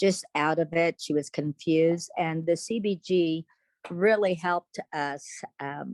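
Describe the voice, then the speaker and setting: A woman with a fairly low pitch and ordinary pitch variation uses an ordinary speaking voice, heard in a dry, close sound with no echo. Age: 60s. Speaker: parent. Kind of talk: testimony.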